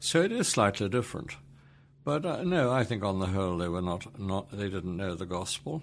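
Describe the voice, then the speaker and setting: Lively intonation and a fairly quick pace from a man with an English accent. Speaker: preacher and trainer of Bible teachers. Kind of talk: interview. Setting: office.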